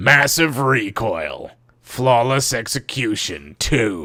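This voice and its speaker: A man puts on a raspy character voice at medium pitch, speaking at a very slow pace. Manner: dramatic.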